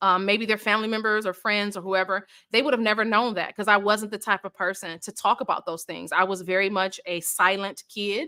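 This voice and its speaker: A woman speaks loudly at a fairly high pitch, her tone bright and sharp. The very clean recording has a silent background and a dry, close sound with no echo. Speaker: author launching her book. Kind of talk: casual chat.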